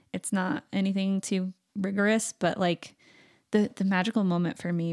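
The woman uses an ordinary speaking voice with an American accent at a medium pitch. She keeps a moderate pace and fairly even intonation. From Arizona. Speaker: cosplayer and artist. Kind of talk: casual interview chat.

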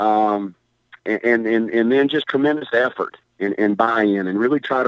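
A man with a Southern US accent talks at a medium pitch and a moderate pace. The sound is dry and close, with no echo. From Mississippi. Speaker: college basketball head coach. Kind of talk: casual interview.

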